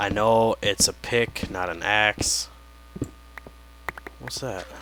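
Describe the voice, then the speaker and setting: Noticeable background noise surrounds a quiet man with a fairly low pitch. He speaks at a very slow pace with lively intonation. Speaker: gaming video creator. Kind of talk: let's play commentary. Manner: quiet, low voice; casual, meandering.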